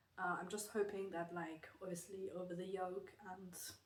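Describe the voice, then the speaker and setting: A woman speaks at a medium pitch and a moderate pace. Her voice is somewhat breathy, with a slight German accent. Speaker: knitting vlogger. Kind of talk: casual vlog talk. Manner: hesitant, many fillers.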